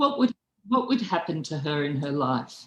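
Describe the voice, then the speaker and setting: A woman speaks with lively intonation. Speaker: philosopher. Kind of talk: lecture. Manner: slow; halting.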